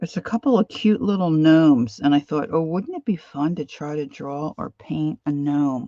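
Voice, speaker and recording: A woman with an American accent and a very deep, low pitch speaks in a dark, mellow tone with lively intonation. She keeps a moderate pace with hardly any pauses, and the sound is dry with no echo against a quiet background. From Philadelphia area, US. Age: 60s. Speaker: craft and art livestreamer; art livestreamer. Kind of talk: casual live-stream chat while crafting. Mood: relaxed, chatty.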